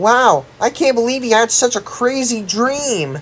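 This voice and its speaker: This is a put-on character voice, fairly high in pitch. The pace is fairly slow. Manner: frightened.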